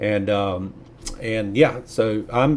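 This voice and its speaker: A man with a Southern US accent and fairly even intonation. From US South. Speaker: YouTuber, nurse. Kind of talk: casual video commentary. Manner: hesitant, many fillers.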